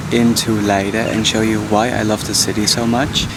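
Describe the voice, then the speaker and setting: Noticeable background noise surrounds a man speaking in an upbeat tone. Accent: Dutch. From Amsterdam, Netherlands. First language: Dutch. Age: 20s. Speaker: travel vlogger. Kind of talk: casual talk to camera.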